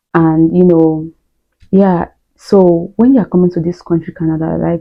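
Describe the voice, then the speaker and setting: Here a woman speaks with a Nigerian accent. Her pitch is fairly low. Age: adult, not young. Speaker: YouTuber, student immigrant. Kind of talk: casual vlog monologue.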